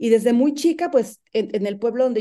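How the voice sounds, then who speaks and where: Against a quiet background, a woman speaks at a fairly high pitch in a plain, everyday voice. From Mexico, rural San Luis Potosí. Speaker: human rights defender. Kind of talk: interview.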